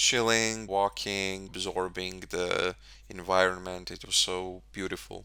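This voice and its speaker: This man talks very slowly in a very deep, low pitch, his bright, sharp tone delivered with monotone, flat intonation. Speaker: English tutor. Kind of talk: podcast talk for English learners.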